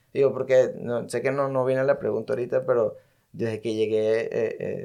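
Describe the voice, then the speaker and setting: This man talks with a Venezuelan accent. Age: 30s. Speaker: music video director. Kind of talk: casual interview.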